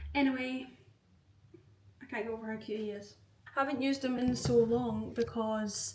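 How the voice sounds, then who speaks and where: With a Glaswegian accent, a woman speaks in a flat monotone amid noticeable background noise and audible room echo. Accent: Glaswegian Scottish. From Scotland, Glasgow. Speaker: vlogger. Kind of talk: casual vlog talk to camera. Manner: chatty, filler-heavy.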